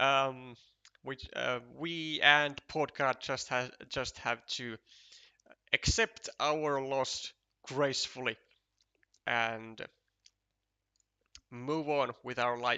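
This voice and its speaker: The speech comes at a very slow pace with long, frequent pauses. The Finnish accent carries fairly even intonation. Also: man, medium pitch for a man. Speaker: esports commentator. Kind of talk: live commentary. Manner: halting, many fillers.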